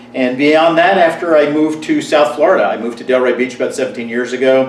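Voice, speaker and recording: Talking at a very fast pace with an American accent, a man uses a fairly high pitch and ordinary pitch variation over noticeable background noise. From New Jersey. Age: 60s. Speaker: magician. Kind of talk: personal monologue to camera. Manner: casual, with frequent fillers.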